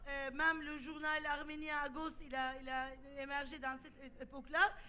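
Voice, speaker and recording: Bright, sharp tone in a woman's raised, projected voice. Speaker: sociologist and activist. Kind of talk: panel debate. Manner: halting, many repetitions.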